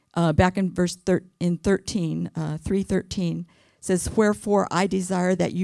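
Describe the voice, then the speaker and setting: A soft-spoken woman's voice, fairly low and dark and mellow in tone, at a moderate pace, with a dry, close sound, no echo and a very clean, silent background. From California. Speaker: women's ministry speaker. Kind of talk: sermon. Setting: church.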